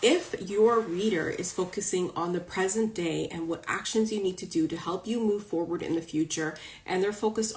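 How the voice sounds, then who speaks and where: With ordinary variation in pitch, the voice sounds somewhat breathy. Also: woman. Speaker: spiritual coach and psychic reader. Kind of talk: live stream talk to followers. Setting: social media live video. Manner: casual, chatty; fast.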